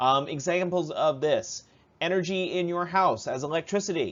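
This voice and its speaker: A man talks with an American accent. His pitch is high, with ordinary variation. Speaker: high school science teacher. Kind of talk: recorded lecture review. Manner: fast; casual, with many fillers.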